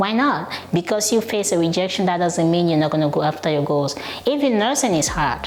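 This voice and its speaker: A woman talks at a fairly quick pace with a non-native accent and lively intonation. There is noticeable background noise and audible room echo. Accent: noticeable foreign. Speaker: nurse and real estate investor YouTuber. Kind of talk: casual vlog monologue. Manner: animated.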